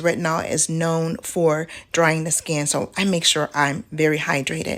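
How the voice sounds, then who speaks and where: An unremarkable speaking voice. It moves at a fairly slow pace. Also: woman. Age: middle-aged. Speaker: beauty vlogger. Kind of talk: tutorial. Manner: casual.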